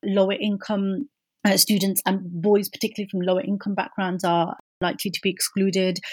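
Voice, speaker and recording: The woman's somewhat breathy voice moves at a fairly quick pace with fairly even intonation. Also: medium pitch for a woman. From Birmingham, England. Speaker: academic researcher. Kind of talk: interview.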